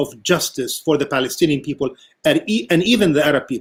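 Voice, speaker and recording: With lively intonation, a man in an unremarkable speaking voice talks at a fairly high pitch. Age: 60s. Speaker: political science professor. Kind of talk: panel discussion.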